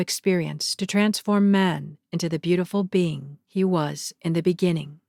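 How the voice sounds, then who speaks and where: A woman with an unremarkable speaking voice and fairly low pitch, on a very clean recording with a silent background and a dry, close sound with no echo. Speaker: narrator. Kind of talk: spiritual lecture reading with commentary.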